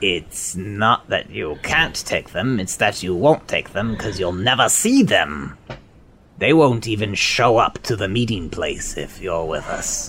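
A man does a put-on character voice at a fairly low pitch and a fairly slow pace. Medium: actual play. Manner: hesitant, stammering.

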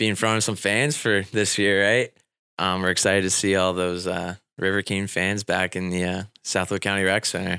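A man with a Midwestern US accent speaks at a moderate pace in a very deep, low pitch, with a bright, sharp tone and fairly even intonation. The recording is very clean with a silent background and a dry, close sound with no echo. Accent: US Midwest. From Indiana, US Midwest. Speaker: assistant hockey coach. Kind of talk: radio interview.

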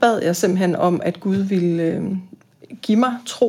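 Over a very clean recording with a silent background, a woman speaks at a medium pitch with ordinary pitch variation. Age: 50s. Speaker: boarding school teacher and psychotherapist. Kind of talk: interview about faith.

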